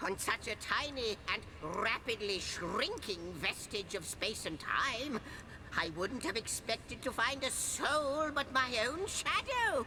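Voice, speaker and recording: A female-sounding voice puts on a character at a high pitch and a fairly slow pace. Loud background noise runs behind it. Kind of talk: fantasy game voice acting. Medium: video game. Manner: excitable, repetitive, theatrical.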